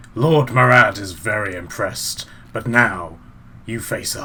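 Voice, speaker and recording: A man speaks in a raspy, put-on character voice. It sits at a medium pitch and moves at a fairly slow pace. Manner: menacing, speaking together.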